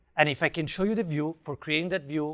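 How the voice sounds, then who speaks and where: On a very clean recording with a silent background, a man speaks in a bright, sharp tone with ordinary pitch variation. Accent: Italian. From Italy. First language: Italian. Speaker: software developer, conference speaker. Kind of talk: conference talk. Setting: stage with audience, wireless mic.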